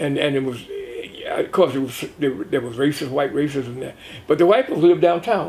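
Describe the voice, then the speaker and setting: At a fairly quick pace, a man with a fairly high pitch speaks with ordinary pitch variation over noticeable background noise. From US South, Tuskegee, Alabama. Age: 80s+. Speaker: author and journalist. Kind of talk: interview. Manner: halting.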